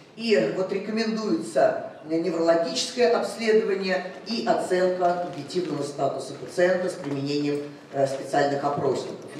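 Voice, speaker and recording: A woman's fairly low voice at a moderate pace, with audible room echo and light background noise. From Russia. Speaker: cardiology professor. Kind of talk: medical conference lecture. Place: hall.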